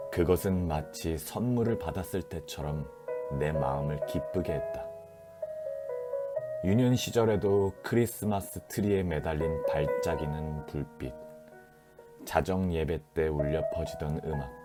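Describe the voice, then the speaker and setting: With music in the background, a man with a very deep, low voice speaks very slowly, taking long, frequent pauses, with ordinary pitch variation. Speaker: actor reading a book aloud. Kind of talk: audiobook narration of a novel, ASMR sleep reading. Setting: home recording, varied recording environment.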